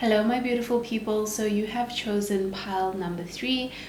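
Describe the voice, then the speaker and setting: Fairly even in intonation, a woman speaks amid noticeable background noise and audible room echo. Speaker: tarot reader. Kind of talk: tarot reading to camera.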